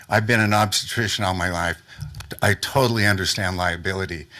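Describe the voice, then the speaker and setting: A man with a very deep, low pitch and a bright, sharp tone speaks at a very fast pace with fairly even intonation. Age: 70s. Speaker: business owner presenting to city council. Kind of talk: public comment presentation. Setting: city council meeting. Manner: informal, with fillers and restarts.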